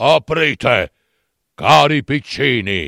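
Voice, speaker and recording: In a hoarse, put-on character voice of medium pitch, a man speaks very slowly on a very clean recording with a silent background. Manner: feigned sweetness.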